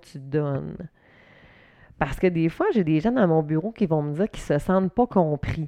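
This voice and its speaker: A woman speaks with a Quebec accent and lively intonation. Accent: Québécois French. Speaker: podcaster. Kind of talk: casual monologue. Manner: loud.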